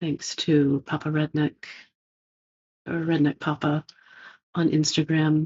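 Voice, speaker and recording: A woman with a very deep, low voice speaks at a very slow pace. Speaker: spiritual teacher, channeler. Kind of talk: spiritual talk, monologue.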